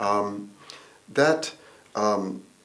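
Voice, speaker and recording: Fairly low male voice, ordinary pitch variation, audible room echo. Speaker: environmental consultant. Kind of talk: interview. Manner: halting, many fillers.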